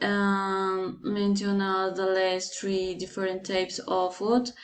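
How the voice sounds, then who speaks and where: A woman speaks at a medium pitch with a Colombian accent. Her pace is very slow. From Colombia, Bogotá. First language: Spanish. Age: 20s. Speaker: language student. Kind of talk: class assignment presentation. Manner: halting, many hesitations.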